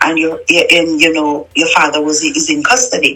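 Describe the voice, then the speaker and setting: Noticeable noise runs in the background as a woman talks at a moderate pace. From Jamaica, Clarendon. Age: 40s. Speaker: interviewee telling her life story. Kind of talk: testimony. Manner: halting.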